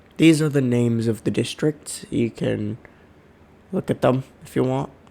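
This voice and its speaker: A dark, mellow tone with lively intonation. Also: man, medium pitch for a man, fairly slow pace. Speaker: worldbuilding video creator. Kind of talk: slideshow presentation. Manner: casual, hesitant.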